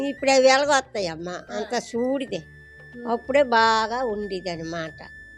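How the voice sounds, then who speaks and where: Over music in the background, a woman speaks at a fairly high pitch with lively intonation and big swings in loudness. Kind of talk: interview answer.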